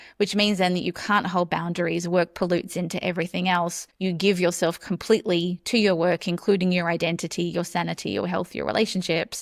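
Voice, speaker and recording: With an Australian accent, a woman speaks at a fairly low pitch and fairly quick pace, with hardly any pauses. Her intonation is monotone and flat, and the recording is very clean with a silent background. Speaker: burnout coach, entrepreneur. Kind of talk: interview podcast.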